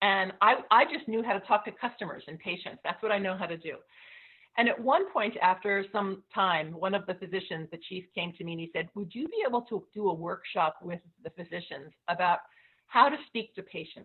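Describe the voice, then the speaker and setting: A woman speaks at a fairly quick pace in a normal speaking voice, medium in pitch, with ordinary pitch variation and big swings in loudness. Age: 60s. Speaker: teacher and panelist. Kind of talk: panel discussion. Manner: casual, conversational with fillers.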